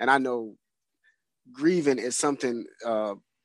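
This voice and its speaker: A man speaks at a moderate pace with a dry, close sound and no echo. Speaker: radio co-host. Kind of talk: casual interview.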